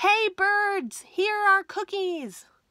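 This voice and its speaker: A woman uses a put-on character voice that is squeaky and extremely high-pitched. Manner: loud shout.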